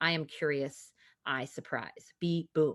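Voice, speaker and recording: An animated woman with an American accent and a very deep, low pitch, against a quiet background. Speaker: lacrosse player turned company founder. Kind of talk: podcast interview. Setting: video call.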